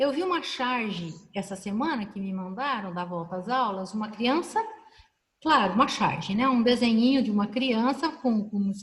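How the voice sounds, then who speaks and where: With lively intonation, a woman speaks at a moderate speed. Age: 60s. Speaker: professor and panel moderator. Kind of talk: online panel discussion. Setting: video call.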